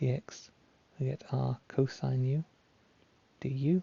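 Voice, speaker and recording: A somewhat breathy man talks at a medium pitch. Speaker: maths tutor. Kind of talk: tutorial.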